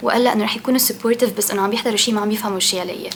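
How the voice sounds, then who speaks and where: A woman's fairly high, monotone voice with flat intonation over noticeable background noise. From Lebanon. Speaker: book podcaster. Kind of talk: casual monologue. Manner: conversational with hesitations.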